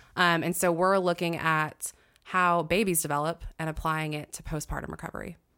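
A plain, everyday voice with an American accent, at a moderate pace and with fairly even intonation. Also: woman. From US Pacific Northwest, Washington State. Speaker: nutritional therapist and fitness coach. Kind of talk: casual chat.

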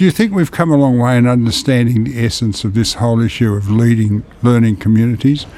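With an Australian accent, a man speaks very fast at a medium pitch and hardly pauses. His loudness stays very even throughout. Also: ordinary pitch variation. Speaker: podcast host. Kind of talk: interview.

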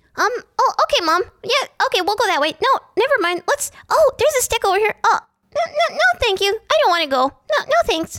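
An extremely high, put-on character voice moves along at a moderate pace. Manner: cute, sweet.

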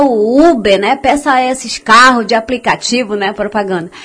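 A woman with a high pitch and ordinary pitch variation speaks at a moderate pace against noticeable background noise. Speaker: community radio host. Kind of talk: radio show. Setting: studio. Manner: casual, warm.

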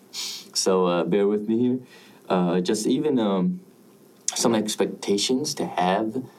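A very slow man's voice at a fairly low pitch. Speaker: podcast host. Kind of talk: solo podcast intro, casual monologue. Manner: halting, many fillers, unpolished; casual, upbeat, enthusiastic.

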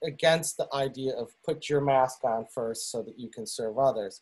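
With a Western New York accent, a man speaks at a fairly high pitch with lively intonation. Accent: Western New York American. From US, Buffalo, New York. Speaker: musician. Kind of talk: casual interview chat. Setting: video call. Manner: halting.

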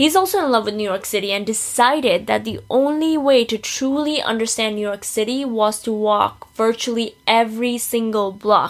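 A woman speaks at a moderate pace with a fairly high pitch and ordinary pitch variation. She has an unremarkable speaking voice. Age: 20s. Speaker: podcast host. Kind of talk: interview.

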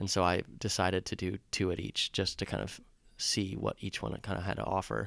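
A man's very deep, low voice with vocal fry and lively intonation at a fairly quick pace, in dry, close sound with no echo and a very clean recording with a silent background. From US Midwest, small-town Wisconsin. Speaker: interview guest. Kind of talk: casual interview. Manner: hesitant, many fillers.

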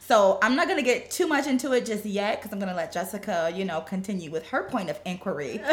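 A woman with an American accent talks very fast with hardly any pauses and very wide pitch swings, in a playful tone. Noticeable background noise is present. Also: medium pitch for a woman. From US Midwest. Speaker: podcast co-host. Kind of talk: casual chat. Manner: playful, laughs often.

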